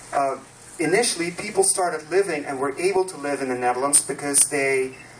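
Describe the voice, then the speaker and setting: This man's fairly high voice moves at a fairly quick pace with ordinary pitch variation, set against noticeable background noise. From Netherlands. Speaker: landscape planner. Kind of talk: public talk presentation.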